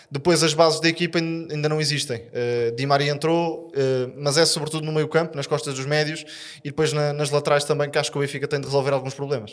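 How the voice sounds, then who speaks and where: Very fast and monotone, a man delivers his words with flat intonation at a fairly high pitch. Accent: European Portuguese. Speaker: football pundit. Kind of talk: casual chat.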